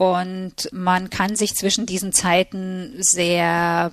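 A woman's very slow speech at medium pitch with fairly even intonation, on a very clean recording with a silent background. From Hungary and Germany. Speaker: literary translator. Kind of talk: interview.

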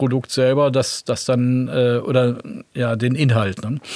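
Speaking at medium pitch with fairly even intonation, a man has a plain, everyday voice. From West Germany. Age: 60s. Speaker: guitarist and record label founder. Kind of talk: interview.

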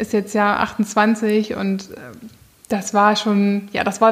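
The woman speaks with monotone, flat intonation. Her pitch is medium. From northern Germany, near Bremen. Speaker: show rider. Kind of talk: interview.

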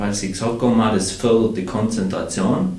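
A man with a fairly low pitch is recorded amid noticeable background noise and audible room echo. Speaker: beer brewer and sommelier. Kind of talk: casual chat.

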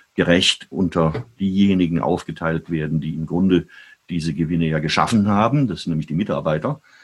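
This man's voice sits very deep and low. His pitch varies in an ordinary way. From Germany (Heidelberg, Frankfurt). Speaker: journalist and author. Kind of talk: interview conversation.

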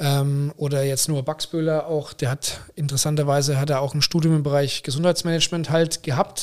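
A man with an unremarkable speaking voice talks at a fairly high pitch with fairly even intonation. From Germany, Braunschweig area. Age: 40s. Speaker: hospital managing director. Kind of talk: interview.

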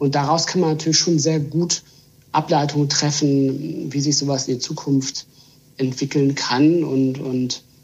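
Speech comes at a moderate pace, somewhat breathy, with fairly even intonation. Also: man. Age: 30s. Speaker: trend consultant. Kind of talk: podcast interview. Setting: video call. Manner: halting, repeats words.

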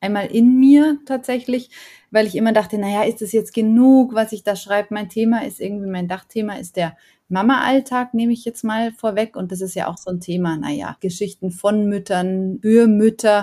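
A woman talks with a fairly high pitch. Her tone is dark and mellow. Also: ordinary pitch variation, moderate pace. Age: 40s. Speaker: author. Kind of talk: interview. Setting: podcast.

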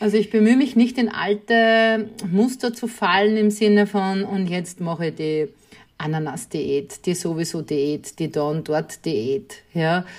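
This is an unremarkable speaking voice from a woman at medium pitch. She talks at a fairly slow pace with lively intonation. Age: 40s. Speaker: podcast host, guest. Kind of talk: casual interview.

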